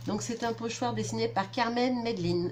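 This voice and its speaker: A woman is speaking. Her pitch swings very widely. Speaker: scrapbooking youtuber. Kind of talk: product haul review. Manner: casual, hesitant with fillers.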